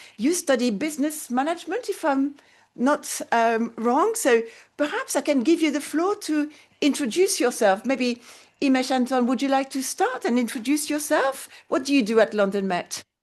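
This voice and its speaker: A woman speaks in a French accent at a moderate pace. Her voice is high-pitched with lively intonation. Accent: French accent when speaking English. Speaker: interpreting lecturer hosting mock conference. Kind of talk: conference moderation. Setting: university conference room, web streamed.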